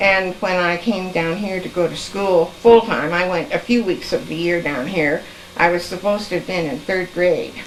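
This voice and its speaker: A woman with an American accent speaks at a medium pitch with fairly even intonation over noticeable background noise. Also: moderate pace. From US West, Gunnison, Colorado. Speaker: oral history interviewee. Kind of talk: oral history interview. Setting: at home.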